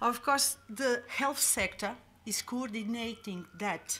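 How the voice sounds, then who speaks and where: A woman with a strong Madeiran accent, very slow in pace, with ordinary pitch variation. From Madeira, Portugal. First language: Portuguese. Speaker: public health official. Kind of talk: conference presentation. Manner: halting, many fillers.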